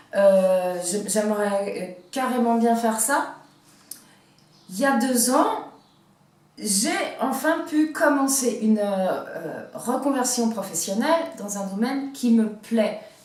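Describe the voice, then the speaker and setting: A fairly high-pitched woman at a very slow pace, lively intonation, big swings in loudness, long, frequent pauses, noticeable background noise and audible room echo. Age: 40s. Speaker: vlogger. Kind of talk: personal vlog. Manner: halting, many hesitations.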